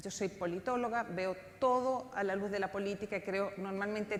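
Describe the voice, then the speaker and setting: A woman talks at a moderate pace and medium pitch, with audible room echo around her voice. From outside Chile (Spanish-speaking country). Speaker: political scientist, panel speaker. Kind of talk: conference talk.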